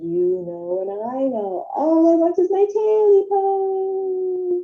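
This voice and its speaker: A put-on, squeaky character voice with a menacing tone drags along at a very slow pace. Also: woman, extremely high pitch for a woman. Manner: creepy, menacing.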